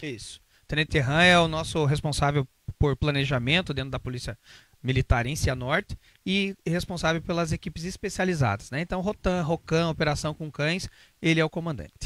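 In a Curitiba accent, a man speaks at a fairly quick pace with a fairly high pitch and ordinary pitch variation. The sound is dry with no echo, and the background is quiet. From Brazil, Curitiba; Brazil. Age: 40s. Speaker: police officer; interviewee. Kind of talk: interview. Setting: studio. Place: studio. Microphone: handheld.

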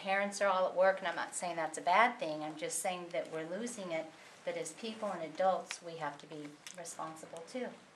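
With an American accent, a woman speaks at a fairly quick pace and fairly low pitch, using ordinary pitch variation over noticeable background noise. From Southern California. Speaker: audience member. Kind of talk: audience comment.

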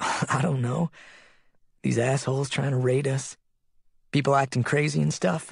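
A raspy put-on character voice from a man at medium pitch, moderate pace, with long, frequent pauses. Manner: soft, grateful.

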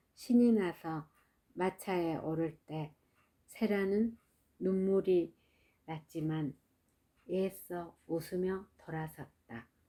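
Very slowly, a woman speaks at a medium pitch. Her tone is dark and mellow, with ordinary pitch variation. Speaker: mother reading children's books aloud. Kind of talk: audiobook reading of a children's story. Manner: soft, ASMR-style.

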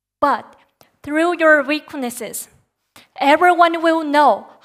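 Against a quiet background, a woman talks in a high pitch. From Japan, Nagoya; Japan. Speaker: Bible college student preacher; preacher. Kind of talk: sermon. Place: church. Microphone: headset.

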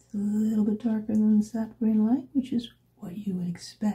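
A woman's fairly high voice, somewhat breathy and dark and mellow in tone, keeps a fairly even intonation. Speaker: watercolor artist. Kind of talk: ASMR art tutorial narration. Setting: quiet room with ambient sound. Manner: soft-spoken, sometimes whispering.

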